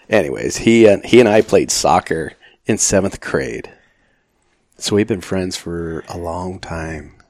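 A man's very deep, low voice with vocal fry and an American accent, fairly slow in pace, with ordinary pitch variation, big swings in loudness and a very clean recording over a silent background. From Arizona, Phoenix area. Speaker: retired firefighter. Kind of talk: casual interview.

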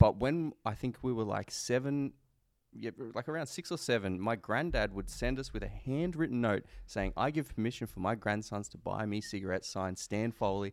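At a fairly quick pace, a man with an Australian accent speaks in a medium pitch with lively intonation on a very clean recording with a silent background. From Queanbeyan, NSW, Australia. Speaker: podcast co-host. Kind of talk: casual chat. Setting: studio.

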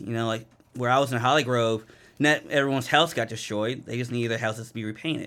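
Speaking at a fairly quick pace, a man with an American accent holds a medium pitch and fairly even intonation. The recording is very clean, with a silent background. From US, Baltimore, Maryland. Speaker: pastor and community ministry director. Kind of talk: interview.

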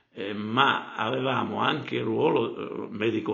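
A man's voice with audible room echo. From Calabria, Arbëreshë village in Cosenza province. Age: 70s. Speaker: retired country doctor. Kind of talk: interview conversation. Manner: halting, with many repetitions.

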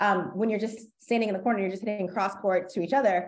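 Here is a plain, everyday voice with an American accent and ordinary pitch variation. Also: woman. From United States. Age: 30s. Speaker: college tennis coach. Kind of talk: interview.

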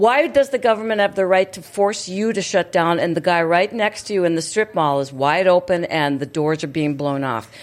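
An unremarkable speaking voice from a woman, fairly low in pitch, with lively intonation and a moderate pace. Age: 60s. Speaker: radio host. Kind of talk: casual talk show chat. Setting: studio.

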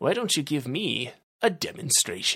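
Delivered at a moderate pace, this put-on character voice has a fairly bright tone, a slightly husky edge and big pitch swings.

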